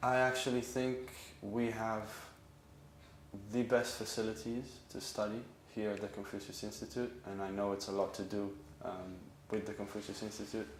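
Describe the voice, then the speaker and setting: A man with an Israeli accent and fairly low pitch, at a moderate pace with long, frequent pauses, amid audible room echo and noticeable background noise. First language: Hebrew. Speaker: acupuncture student. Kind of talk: interview. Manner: hesitant with frequent um.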